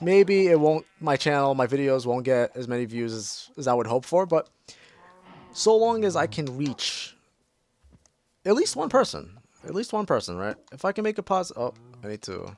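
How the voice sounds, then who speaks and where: A fairly high-pitched man with very wide pitch swings. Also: moderate pace. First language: Portuguese. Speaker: mental health counselor and gaming youtuber. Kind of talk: casual gameplay commentary. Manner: halting, repetitive; calm, relaxed.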